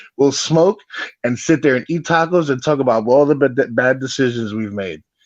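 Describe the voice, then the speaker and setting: A man speaks with a New York accent at a medium pitch. His pace is moderate, and his pitch varies in an ordinary way. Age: 40s. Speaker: former grief counselor, guest commentator. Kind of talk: casual chat.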